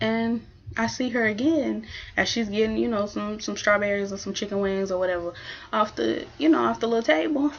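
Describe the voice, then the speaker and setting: Soft-spoken yet animated in tone, a woman talks at a fairly quick pace. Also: medium pitch for a woman, lively intonation. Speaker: vlogger. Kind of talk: casual chat.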